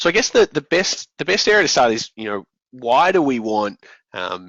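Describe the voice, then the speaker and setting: The voice belongs to a man. He speaks in an Australian accent. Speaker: software company general manager, conference presenter. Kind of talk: conference presentation. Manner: frequent fillers and hesitations.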